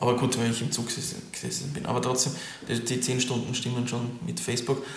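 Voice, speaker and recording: A man talks at medium pitch with monotone, flat intonation. Audible room echo and noticeable background noise fill the recording. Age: young. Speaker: winemaker. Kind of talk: interview.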